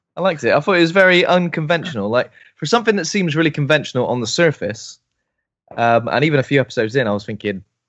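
The speaker goes at a very fast pace with lively intonation. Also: man. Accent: British. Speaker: co-host. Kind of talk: casual chat.

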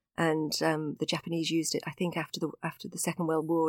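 The recording is very clean, with a silent background and a dry, close sound with no echo. A woman speaks at a fairly low pitch. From Crosby, near Liverpool, England. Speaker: coach and positive psychology practitioner. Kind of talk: casual interview chat.

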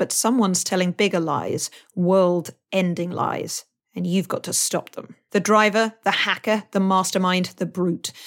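In a normal speaking voice, a woman speaks at a medium pitch and a fairly slow pace with fairly even intonation, on a very clean recording with a silent background. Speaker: voice actor. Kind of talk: sponsor read and casual outtake chat.

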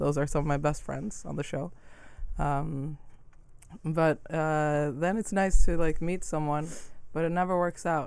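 Speaking at a fairly slow pace with long, frequent pauses, a woman uses a very deep, low voice and fairly even intonation amid audible room echo. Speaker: podcast host. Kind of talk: casual chat.

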